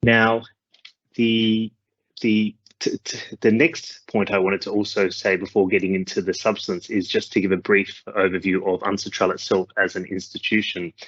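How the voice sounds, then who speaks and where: He speaks with an Australian accent at a moderate pace. His intonation stays fairly even. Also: fairly low pitch for a man. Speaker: legal officer. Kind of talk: conference presentation. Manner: halting, many fillers.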